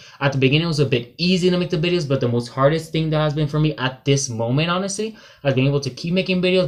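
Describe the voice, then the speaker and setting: Somewhat breathy and fairly high-pitched, a man races along at a very fast pace with ordinary pitch variation. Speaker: book vlogger. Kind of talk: casual vlog monologue. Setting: sister's bedroom. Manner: halting, with filler words.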